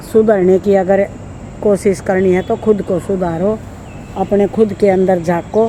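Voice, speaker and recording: Speaking with a Haryanvi accent at a medium pitch, a woman keeps a monotone, flat intonation over noticeable background noise. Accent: Haryanvi-accented Hindi. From Haryana, India. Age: 60s. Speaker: vlogger giving life advice. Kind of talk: casual monologue to camera.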